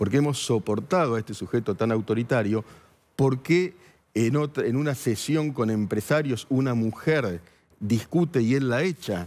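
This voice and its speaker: In a normal speaking voice, a man talks at a medium pitch and moderate pace with lively intonation. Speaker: journalist and columnist. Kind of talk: TV news interview.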